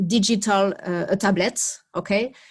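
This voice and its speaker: A woman speaks at a medium pitch with fairly even intonation over a quiet background. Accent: French. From France. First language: French. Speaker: library project worker. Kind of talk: video call presentation. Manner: halting, many fillers.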